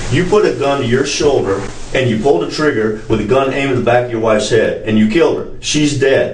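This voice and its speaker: A fairly high-pitched man's voice at a fairly quick pace, with audible room echo. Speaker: police detective. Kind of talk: police interrogation. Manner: forceful, confrontational. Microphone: camera far.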